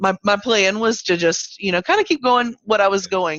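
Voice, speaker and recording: A woman speaks at a medium pitch with a slight Southern US accent. Her pace is moderate and her pitch varies in an ordinary way. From Virginia. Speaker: cancer survivor and advocate. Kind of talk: interview. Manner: hesitant, many fillers.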